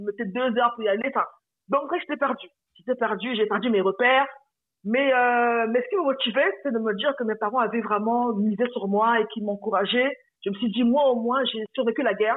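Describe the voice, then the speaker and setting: A woman speaks at a fairly quick pace in a fairly high pitch with ordinary pitch variation. It is an ordinary speaking voice. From Republic of the Congo. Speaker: personal finance coach. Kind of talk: interview.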